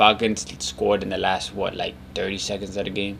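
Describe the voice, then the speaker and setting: Someone speaks quietly at a fairly quick pace. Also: man. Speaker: sports podcast host. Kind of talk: casual solo commentary. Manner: low, quiet.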